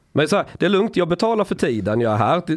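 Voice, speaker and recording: The speaker talks at a very fast pace with very wide pitch swings. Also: man. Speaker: podcast host. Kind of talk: casual chat. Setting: studio.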